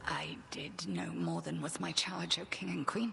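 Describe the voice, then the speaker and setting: Raspy and delivered at a moderate pace, this is a put-on character voice. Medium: video game. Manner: commanding, severe.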